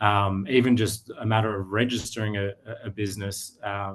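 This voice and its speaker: Here is a man with an Australian accent. His pitch is fairly low. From Australia, Sydney. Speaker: digital media business owner. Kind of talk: interview. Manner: halting, many fillers.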